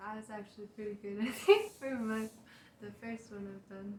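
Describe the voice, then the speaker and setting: A soft-spoken woman talks at a moderate pace. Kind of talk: casual chat. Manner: halting.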